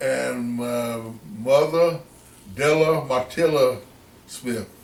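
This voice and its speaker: Very slow and at a medium pitch, a man with a North Carolina accent talks with ordinary pitch variation over noticeable background noise. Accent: Southern US (North Carolina). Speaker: interviewee, family elder. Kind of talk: family interview.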